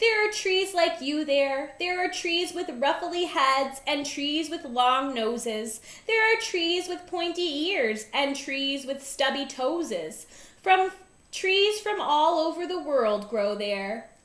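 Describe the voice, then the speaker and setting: At a fairly slow pace, a woman puts on a character voice pitched high. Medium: read story. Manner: gentle, informative.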